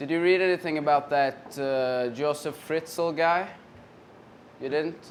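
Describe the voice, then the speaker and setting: Fairly high-pitched man's voice at a fairly slow pace. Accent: Swedish. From Sweden. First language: Swedish. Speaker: comedian. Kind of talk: stand-up. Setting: stage with audience.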